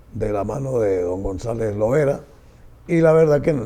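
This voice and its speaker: Lively in intonation, a man speaks at a moderate pace with a medium pitch and a dark, mellow tone. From Venezuela. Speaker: sports broadcaster. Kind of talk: interview answer.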